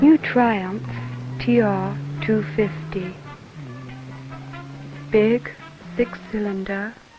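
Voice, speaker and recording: A woman talks at a very slow pace while music plays behind her. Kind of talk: TV commercial read.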